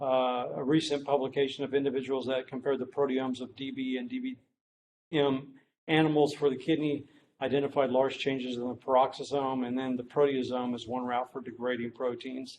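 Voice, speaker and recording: A man talks at a fairly quick pace and medium pitch in a flat monotone. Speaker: medical researcher, professor. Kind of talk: lecture. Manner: hesitant, many fillers.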